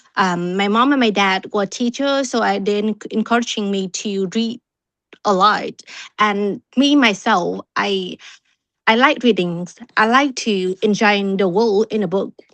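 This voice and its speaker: With a Vietnamese accent, a woman talks at a fairly slow pace over a quiet background. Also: medium pitch for a woman, ordinary pitch variation, dry, close sound with no echo. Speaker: club member. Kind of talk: impromptu speech. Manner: halting.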